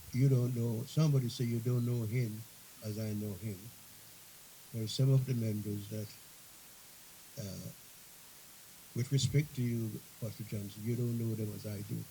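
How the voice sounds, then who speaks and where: A man speaks at a moderate pace in a medium-pitched, somewhat breathy voice with a dark, mellow tone and fairly even intonation. Long, frequent pauses and audible room echo run through the clip. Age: 90s. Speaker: bishop. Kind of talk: sermon. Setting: church convention.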